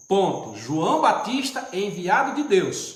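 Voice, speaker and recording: A man's voice with very wide pitch swings, noticeable background noise and audible room echo. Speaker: deacon, preacher. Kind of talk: livestream bible teaching. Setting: live stream.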